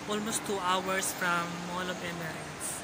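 A man at a very slow pace amid loud background noise. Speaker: vlogger. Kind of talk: casual vlog chat. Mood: cheerful, laughing. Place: hall. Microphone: phone near.

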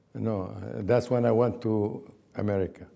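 In an Arabic accent, a man speaks at a very slow pace with a dark, mellow tone, a fairly low pitch and fairly even intonation. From Palestine. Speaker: oral history interviewee; interviewee. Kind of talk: oral history interview. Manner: halting. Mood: reflective, earnest. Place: home room. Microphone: lapel.

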